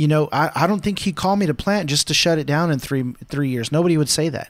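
A man's fairly high voice races along very fast, with ordinary shifts in pitch. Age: 30s. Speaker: podcast host and pastor. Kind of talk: casual chat.

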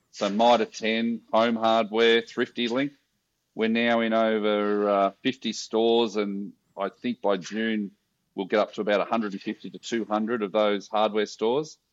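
A man with an Australian accent speaks in a medium pitch with monotone, flat intonation at a fairly slow pace, in a dry, close sound with no echo against a quiet background. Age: 50s. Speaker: social enterprise founder. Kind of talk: casual interview.

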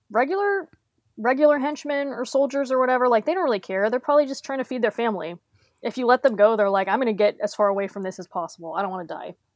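A woman talks at a very fast pace in a high voice. Her pitch swings very widely. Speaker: podcast guest. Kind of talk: casual chat.

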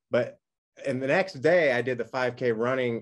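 Pitch varies in an ordinary way in an ordinary speaking voice. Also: man. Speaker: podcast host. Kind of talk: interview. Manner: excitable.

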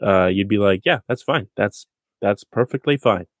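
In a very clean recording with a silent background and a dry, close sound with no echo, a man has a normal speaking voice, a fairly low pitch and fairly even intonation. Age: 30s. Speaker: sports podcast host and site editor. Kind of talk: casual sports chat.

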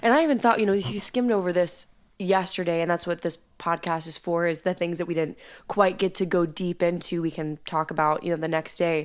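With a plain, everyday voice, a woman speaks fairly quickly at a fairly low pitch with ordinary pitch variation. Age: 20s. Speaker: podcast co-host. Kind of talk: casual chat about Bible study.

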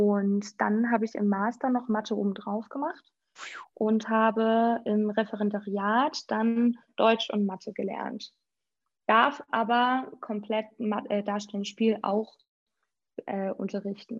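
A woman speaks very slowly at a fairly high pitch, somewhat breathy. Her intonation stays fairly even. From Schleswig-Holstein, near Preetz. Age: 30s. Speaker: youth volunteer program coordinator, former teacher. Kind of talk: podcast interview.

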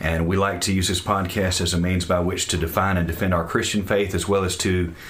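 A man speaks with a very deep, low pitch. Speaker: Baptist pastor and podcast host. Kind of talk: casual podcast intro banter.

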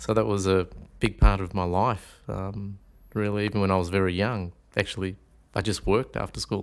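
Over a silent background in a very clean recording, a man with an Australian accent speaks at a moderate pace, fairly low in pitch, with fairly even intonation. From Melbourne and rural Victoria, Australia. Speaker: shiatsu teacher. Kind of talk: casual interview.

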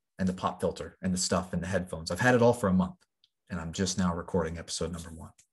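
A man with a very deep, low pitch talks at a very fast pace, somewhat breathy. His intonation is fairly even, while his loudness swings widely. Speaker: podcast host. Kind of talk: solo podcast monologue. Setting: home recording with microphone and pop filter. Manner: unscripted, with frequent fillers.

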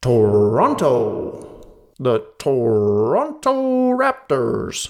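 With an American accent, a man does a put-on character voice at a very slow pace, with a clear echo. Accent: American, like a weatherman. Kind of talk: announcer.

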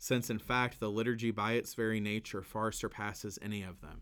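A man's warm voice in a Kentucky accent, fairly quick and monotone with flat intonation. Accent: Southern US, Kentucky. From Kentucky, US South. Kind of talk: podcast conversation about Lent. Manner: casual, warm, laughs often.

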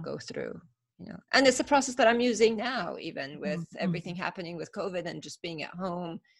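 A woman with a Persian accent talks at a fairly quick pace and a fairly low pitch. Her intonation is lively, with vocal fry. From Iran (Tehran), then Northern California from 13. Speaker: business owner and facilitator. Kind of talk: interview. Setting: call.

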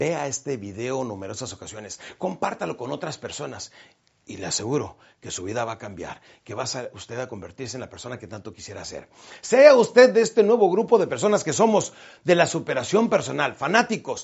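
Animated and at a fairly quick pace, a man speaks at a medium pitch with vocal fry, very wide pitch swings, and big swings in loudness. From Mexico, Chihuahua. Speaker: motivational speaker. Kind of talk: motivational talk.

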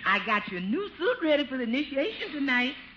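A woman's put-on character voice, high-pitched, bright and sharp in tone, fast, with big pitch swings and faint background noise.

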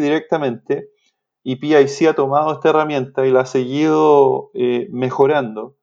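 Against a quiet background, a man with a dark, mellow tone speaks fairly slowly at a fairly high pitch. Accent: Chilean. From Chile. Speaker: swine nutritionist. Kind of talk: interview. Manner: halting, repeats words.

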